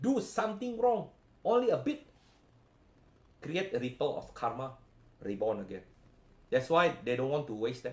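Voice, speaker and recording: Leaving long, frequent pauses, a man speaks somewhat breathily at a fairly high pitch with very wide pitch swings. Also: moderate pace. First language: not English. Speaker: spiritual healing coach. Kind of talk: live stream talk. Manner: halting.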